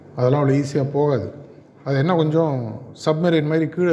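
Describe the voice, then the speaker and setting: Somewhat breathy and dark, mellow in tone, a man speaks at a fairly high pitch with fairly even intonation amid audible room echo. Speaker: guest speaker at a college. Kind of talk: motivational talk to students.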